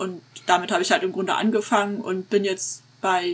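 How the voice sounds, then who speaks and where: At medium pitch, a woman with an ordinary speaking voice talks, her pitch varying in an ordinary way. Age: 30s. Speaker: tabletop roleplayer and game master. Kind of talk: casual interview chat.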